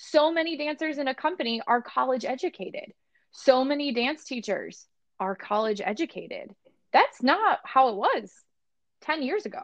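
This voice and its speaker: Pitch swings very widely from this woman, whose voice sits high. She keeps a moderate pace. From US Midwest, Barrington, Illinois. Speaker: dance studio manager. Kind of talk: casual chat. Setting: remote call.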